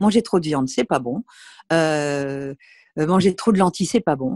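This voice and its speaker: A woman with lively intonation and a dark, mellow tone, with a dry, close sound with no echo and a quiet background. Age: 60s. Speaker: nutrition and health author. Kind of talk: interview, casual advice talk.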